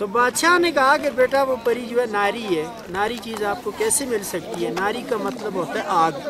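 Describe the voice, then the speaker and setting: A man's high-pitched, raised, projected voice with lively intonation and hardly any pauses, amid crowd noise in the background and audible room echo. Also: moderate pace. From northern Pakistan, Kaghan valley near the lake. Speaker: local storyteller and lake guide. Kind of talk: oral folk storytelling.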